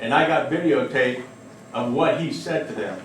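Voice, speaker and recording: Over noticeable background noise and audible room echo, a man with an American accent talks at a moderate pace. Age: 50s. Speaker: resident speaking at public comment. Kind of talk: public comment at council meeting. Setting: village council meeting. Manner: halting, repetitive.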